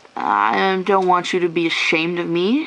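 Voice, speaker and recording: Fairly slow and with fairly even intonation, the delivery comes in an unremarkable speaking voice. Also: woman. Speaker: vlogger. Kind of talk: personal vlog rant. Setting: at home after a shower, on camera.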